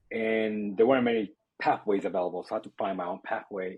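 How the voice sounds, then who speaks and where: A man's fairly low voice at a fairly quick pace, with fairly even intonation. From Dominican Republic, then the Bronx and Harlem, New York. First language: Spanish. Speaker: tech entrepreneur and investor. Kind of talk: podcast interview.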